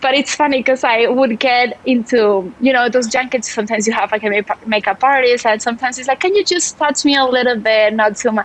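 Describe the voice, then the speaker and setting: In a Spanish accent, a woman speaks at a high pitch and a fairly quick pace, with ordinary pitch variation, very even loudness and hardly any pauses. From Spain, Barcelona. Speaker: writer and journalist. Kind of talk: casual interview chat.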